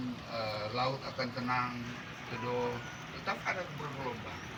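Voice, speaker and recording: There is noticeable background noise and audible room echo. A man talks at medium pitch. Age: 60s. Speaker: birthday celebrant giving testimony. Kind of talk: testimony. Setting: outdoor family garden gathering.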